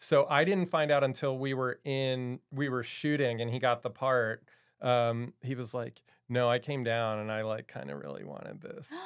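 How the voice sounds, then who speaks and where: A man with an American accent uses a normal speaking voice at a medium pitch, with ordinary pitch variation and a moderate pace. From Maryland, US. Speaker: film writer-director. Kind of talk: casual interview.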